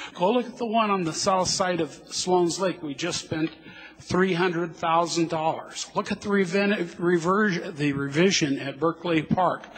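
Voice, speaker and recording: Noticeable background noise accompanies a man who speaks in a high pitch with an American accent, at a moderate pace and with ordinary pitch variation. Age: 60s. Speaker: citizen speaking at public hearing. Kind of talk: public comment at council hearing. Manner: halting.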